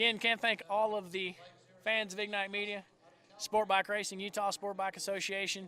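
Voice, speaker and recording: Raised and projected, a man's high, bright, sharp voice carries a Southern US accent. He talks at a fairly quick pace with monotone, flat intonation. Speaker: motorsport live-stream commentator. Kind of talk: live commentary. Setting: race track live stream.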